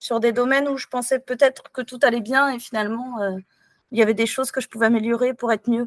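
A woman's high-pitched, monotone voice at a very fast pace, with a dry, close sound and no echo. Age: 40s. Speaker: doctor. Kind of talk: interview testimony. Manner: hesitant.

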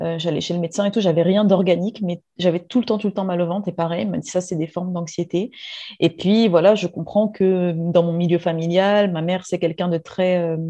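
This woman has an ordinary speaking voice, talking at a fairly quick pace with a fairly low pitch and fairly even intonation. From Réunion. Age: 30s. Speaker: former chemist. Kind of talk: interview testimony.

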